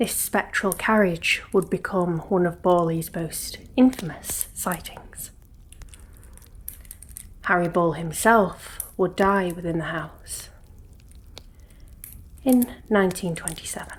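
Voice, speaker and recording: Soft-spoken and somewhat breathy, a woman talks at a medium pitch with ordinary pitch variation. Her pace is very slow, with long, frequent pauses. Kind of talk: ASMR ghost story narration.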